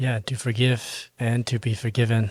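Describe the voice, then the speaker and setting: A man with a Burmese accent talks in a somewhat breathy voice. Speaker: Buddhist podcast co-host. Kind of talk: casual podcast chat.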